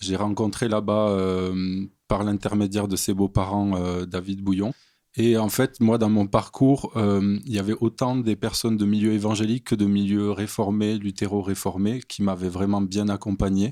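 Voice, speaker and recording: In a very clean recording with a silent background, a man with a slight southern French accent talks at a fairly slow pace in a fairly low pitch, his dark, mellow tone flat and monotone. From southern France, near Montpellier. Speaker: theology student. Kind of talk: podcast interview.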